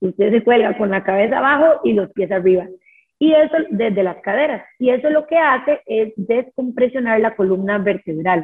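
A woman speaks at a moderate pace with lively intonation and a fairly high pitch. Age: 30s. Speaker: dance teacher. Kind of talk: casual chat. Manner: animated.

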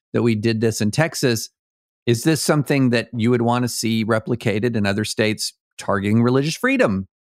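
A man with a plain, everyday voice talks at a moderate pace with medium pitch and ordinary pitch variation, recorded very cleanly against a silent background with a dry, close sound and no echo. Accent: American. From rural US South. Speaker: lawyer and political writer. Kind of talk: casual chat.

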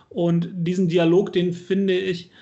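In a recording with audible room echo, a man speaks at a high pitch. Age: 30s. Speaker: local politician, podcast co-host. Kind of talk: casual chat.

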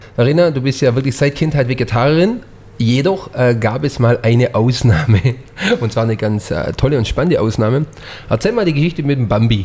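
Speaking at a fairly quick pace, a man uses a plain, everyday voice at medium pitch with lively intonation. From Swabian Jura, Germany. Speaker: chef, podcast co-host. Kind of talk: casual chat.

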